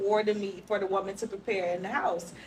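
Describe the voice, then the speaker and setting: A woman speaks over noticeable background noise. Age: young. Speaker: single participant in group discussion. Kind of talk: casual group discussion.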